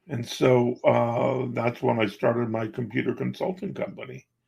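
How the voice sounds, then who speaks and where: A man speaks at a fairly slow pace with a medium pitch. His voice carries vocal fry. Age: 60s. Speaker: magician, coach and business owner. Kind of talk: interview. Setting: podcast interview.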